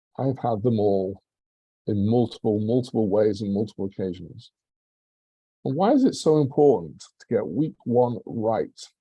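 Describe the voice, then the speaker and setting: In a dark, mellow tone, a man speaks at a moderate pace and medium pitch with ordinary pitch variation. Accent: English. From England. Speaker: public speaking club member. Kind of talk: prepared speech.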